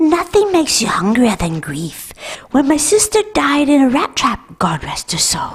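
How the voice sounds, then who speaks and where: A female-sounding voice, high in pitch, delivers a put-on character voice at a moderate pace. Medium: comedy sketch.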